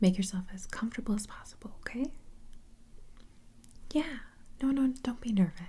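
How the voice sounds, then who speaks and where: A soft-spoken woman talks with a fairly high pitch and a dark, mellow, calm tone. Her voice is somewhat breathy and her intonation fairly even. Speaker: ASMR roleplay host playing an interviewer / receptionist. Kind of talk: ASMR roleplay interview. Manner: soft-spoken, calm, reassuring.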